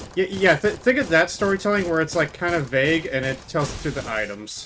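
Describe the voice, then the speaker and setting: A loud man with a high pitch speaks at a fairly quick pace, his pitch swinging very widely. Noticeable background noise runs underneath. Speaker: video game streamer. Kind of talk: live gameplay commentary. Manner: halting, many restarts.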